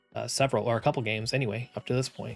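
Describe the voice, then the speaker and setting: A man speaks at a medium pitch. Music plays in the background. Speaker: gaming history video host. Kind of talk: video essay narration.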